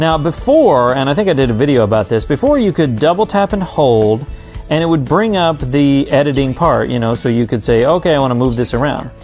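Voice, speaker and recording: The speaker is a man going at a fairly quick clip. Music sits faintly underneath. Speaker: tech accessibility vlogger. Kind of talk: tutorial. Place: home room. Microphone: phone near.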